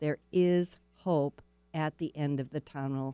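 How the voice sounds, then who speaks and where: A woman with an American accent, her pitch very deep and low with ordinary variation, her tone dark and mellow yet warm and upbeat, in a dry, close sound with no echo and a very clean recording over a silent background. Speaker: radio host. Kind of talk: casual radio interview. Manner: warm, chatty, upbeat.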